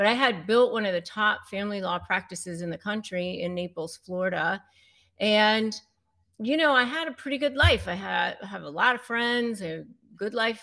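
On a very clean recording with a silent background, a woman with an American accent speaks in a bright, sharp tone with lively intonation. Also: medium pitch for a woman, moderate pace. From US, Northern Virginia. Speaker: attorney and negotiation expert. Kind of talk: interview.

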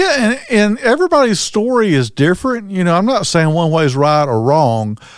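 On a very clean recording with a silent background, a man speaks in a relaxed tone at a fairly quick pace with very wide pitch swings. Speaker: recovery podcast co-host. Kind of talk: casual chat. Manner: relaxed, conversational.

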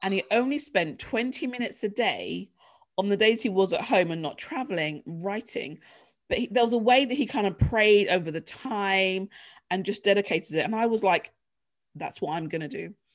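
Against a very clean recording with a silent background, a woman with an English accent speaks at a moderate pace and medium pitch, her intonation lively. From England. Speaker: leadership coach and author. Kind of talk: casual interview chat, personal testimony.

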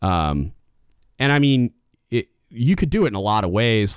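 A man is talking. His pitch varies in an ordinary way. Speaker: Navy sailor and podcast host. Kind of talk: solo leadership talk. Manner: loud when passionate.

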